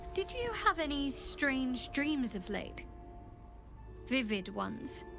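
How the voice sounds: A woman's put-on character voice, high-pitched with big pitch swings and vocal fry, at a slow pace over clear background music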